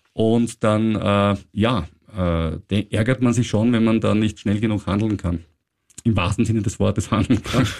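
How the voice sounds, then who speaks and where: Here is a man with a plain, everyday voice, fairly low in pitch. He talks at a fairly slow pace with very even loudness and fairly even intonation. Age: 50s. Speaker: finance podcast host. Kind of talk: casual chat.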